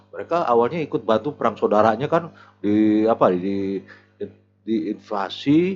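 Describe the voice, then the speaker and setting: With music in the background, a man of medium pitch speaks at a moderate pace with lively intonation. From Jakarta, Betawi (Tanah Abang). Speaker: retired police officer. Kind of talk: casual interview chat. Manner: casual, halting with repetitions.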